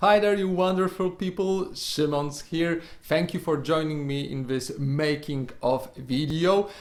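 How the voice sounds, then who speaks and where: A man with a Polish accent, fairly high pitch, ordinary pitch variation, a fairly slow pace and hardly any pauses. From Poland, Poznań. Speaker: YouTuber and podcaster. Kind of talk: casual vlog monologue. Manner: unscripted, halting with many repetitions.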